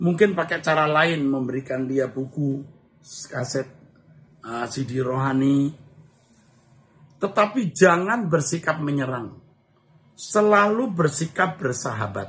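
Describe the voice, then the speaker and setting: A man's fairly high voice at a very slow pace with lively intonation and long, frequent pauses. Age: 60s. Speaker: pastor. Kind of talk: Q&A answering read-out viewer questions in live stream. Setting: live stream.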